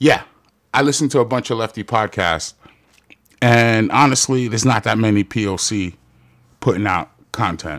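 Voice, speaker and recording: A man in a Queens accent at medium pitch and moderate pace, animated in tone with ordinary pitch variation and long, frequent pauses. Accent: New York City (Queens). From Jamaica, Queens, New York. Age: 40s. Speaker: podcast host. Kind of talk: casual monologue.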